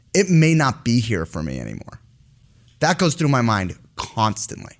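A man with an American accent speaks at a medium pitch. He has a plain, everyday voice and keeps a moderate pace. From US. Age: 30s. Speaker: company CEO. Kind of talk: interview.

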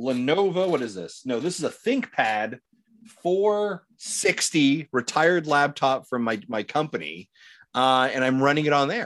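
There's a very clean recording with a silent background of a man talking at a moderate pace and a fairly high pitch, with lively intonation and an unremarkable speaking voice. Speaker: guest, gaming content creator. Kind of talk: casual chat.

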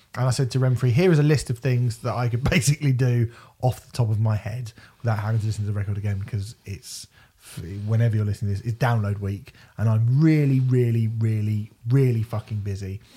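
A man with a British accent talks at a very fast pace, at medium pitch and somewhat breathy. His tone is dark and mellow, with big swings in loudness. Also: fairly even intonation. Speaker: podcast co-host. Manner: casual, jokey.

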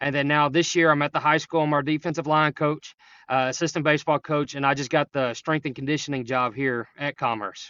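Speaking at a fairly quick pace, a man with an East Texas accent has a fairly high pitch. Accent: East Texas Southern. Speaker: high school coach. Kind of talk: casual interview. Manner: energetic.

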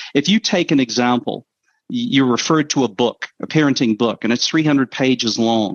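A man talks at a moderate pace in a medium pitch, with ordinary pitch variation and very even loudness. It is an ordinary speaking voice. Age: 50s. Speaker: app co-founder. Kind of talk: interview.

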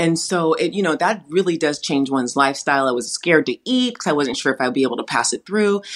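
With an American accent, a woman talks at a very fast pace with hardly any pauses, her fairly low pitch making very wide swings. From California. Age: 40s. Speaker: dietitian and wellness coach. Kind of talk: interview.

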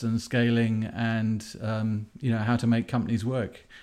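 His voice sits at a medium pitch. Behind him, things stay quiet. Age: 50s. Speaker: entrepreneur. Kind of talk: interview. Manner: hesitant with many fillers.

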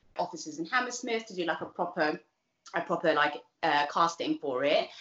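Her voice is fairly low, with a South London accent. She talks at a fairly quick pace with fairly even intonation. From Southeast London (East Dulwich). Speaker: nurse and TV presenter. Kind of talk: casual interview. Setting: video call.

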